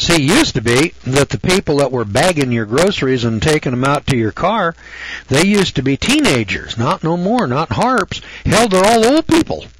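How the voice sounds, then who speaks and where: A man speaks at a moderate pace in a fairly high voice, his pitch swinging very widely over noticeable background noise. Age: 70s. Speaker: radio host. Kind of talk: radio monologue. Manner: folksy, rambling conversational.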